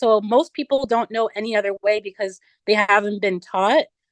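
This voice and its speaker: In an unremarkable speaking voice, a woman with a fairly high pitch talks at a moderate pace, the sound dry and close with no echo. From US (moved from Nigeria as small child). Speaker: vegan social media influencer. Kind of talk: casual interview.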